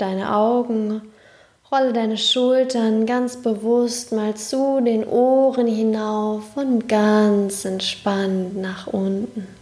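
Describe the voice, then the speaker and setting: At a very slow pace, a woman speaks in a calm, soothing tone with fairly even intonation and a fairly high pitch, over noticeable background noise. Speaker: podcast host and meditation guide. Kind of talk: guided meditation. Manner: slow, calm, soothing, with long pauses; soft-spoken, gentle, warm.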